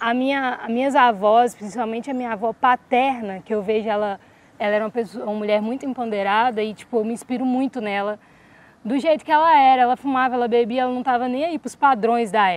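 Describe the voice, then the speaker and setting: At a very fast pace, a woman speaks in a fairly high pitch. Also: ordinary pitch variation. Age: young. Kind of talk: interview answer.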